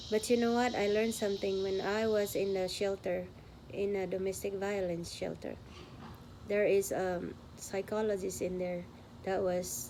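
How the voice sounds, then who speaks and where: The room echo is audible as a woman with a medium pitch speaks at a moderate pace. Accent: Filipino. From Philippines. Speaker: vlogger. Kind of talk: testimony.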